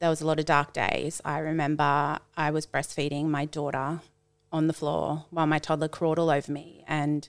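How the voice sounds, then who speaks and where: On a very clean recording with a silent background, a woman speaks at a moderate pace with a very deep, low pitch and an Australian accent. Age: 30s. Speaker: schoolteacher and run club founder. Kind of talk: casual chat.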